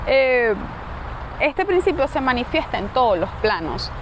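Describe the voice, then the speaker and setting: A woman speaks at a high pitch with lively intonation. Room echo is audible, along with noticeable background noise. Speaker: esoteric philosophy podcaster. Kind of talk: casual lecture. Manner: halting.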